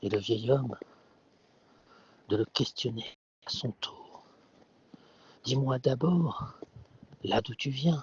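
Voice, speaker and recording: A man whispering at a very slow pace, somewhat breathy. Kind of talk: sleep story. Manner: whispered.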